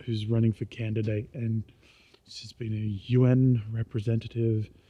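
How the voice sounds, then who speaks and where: A man with an Australian accent speaks at medium pitch in a dark, mellow, somewhat breathy tone. His intonation is monotone and flat. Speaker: vlogger. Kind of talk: casual vlog monologue. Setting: outdoors, walking at night. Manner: quiet; rambling with many fillers. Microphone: poor recording quality.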